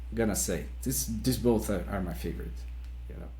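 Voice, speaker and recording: A man's very deep, low voice with a Brazilian accent and vocal fry, at a moderate pace. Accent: Brazilian non-native English. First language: Portuguese. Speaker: metal musician. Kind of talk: interview. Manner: halting, with many repetitions.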